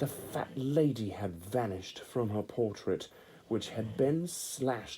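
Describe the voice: Text read aloud plainly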